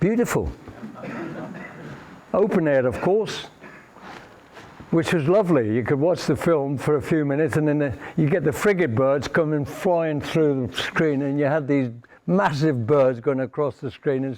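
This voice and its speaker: A man with a fairly high pitch, long and frequent pauses, and noticeable background noise. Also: ordinary pitch variation, moderate pace. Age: 80s+. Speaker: nuclear test veteran giving a talk. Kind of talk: presentation to an audience.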